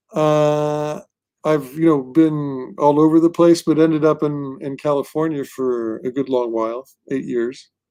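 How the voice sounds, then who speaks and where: On a very clean recording with a silent background, a man with a fairly high pitch and a dark, mellow tone speaks at a fairly slow pace with ordinary pitch variation. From Portugal, Lisbon. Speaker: comic book writer. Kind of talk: interview. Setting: live stream. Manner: casual, filler-heavy.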